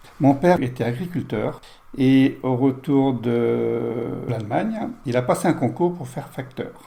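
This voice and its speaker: A man talks very slowly with noticeable background noise around him. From France, Touraine (near Loches). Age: 70s. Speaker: interview guest, host's father. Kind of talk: life-story interview.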